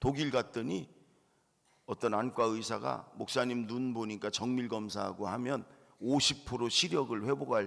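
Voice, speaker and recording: A man talks at a medium pitch with vocal fry and ordinary pitch variation. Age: 60s. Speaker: pastor. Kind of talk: sermon. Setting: church.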